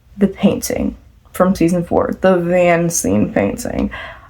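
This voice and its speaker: A woman's voice over noticeable background noise. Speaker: fan vlogger. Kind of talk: casual chat. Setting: at home at night. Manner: soft-spoken.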